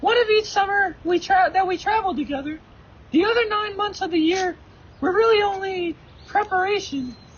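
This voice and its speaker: This is a put-on, squeaky character voice at an extremely high pitch. It moves at a moderate pace. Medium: stage play. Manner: quiet, measured.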